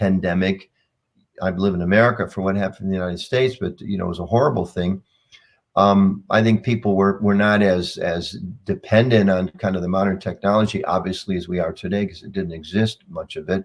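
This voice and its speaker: Speaking very fast with fairly even intonation, a man uses a fairly low voice. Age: 60s. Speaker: communications leader in a religious community. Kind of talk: interview over video call. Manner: halting, many repeated words.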